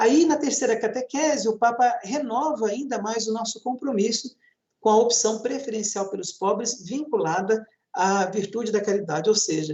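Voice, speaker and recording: A man's high voice at a moderate pace with ordinary pitch variation. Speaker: priest. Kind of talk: panel talk on church campaign.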